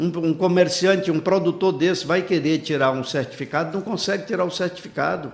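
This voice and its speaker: He talks at a moderate speed. His voice is pitched high for a man. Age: 60s. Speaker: politician, gubernatorial pre-candidate. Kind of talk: interview. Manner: animated.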